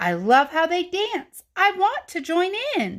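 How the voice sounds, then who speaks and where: At a fairly slow pace, a woman delivers her lines. She uses a put-on character voice pitched extremely high. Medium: read story.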